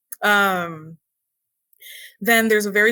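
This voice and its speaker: A woman's bright, sharp voice at medium pitch, in a Puerto Rican accent, with fairly even intonation and a fairly slow pace. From Puerto Rico, west side (Aguada). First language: Spanish. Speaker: historian and educator. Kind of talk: podcast interview. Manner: casual, with many fillers.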